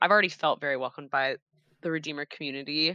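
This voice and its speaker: Over a quiet background, a woman with a very deep, low pitch speaks in a bright, sharp tone with fairly even intonation, the sound dry and close with no echo. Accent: Midwestern American. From Cincinnati, Ohio. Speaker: church children's ministry director. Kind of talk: casual interview. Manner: casual, filler-heavy.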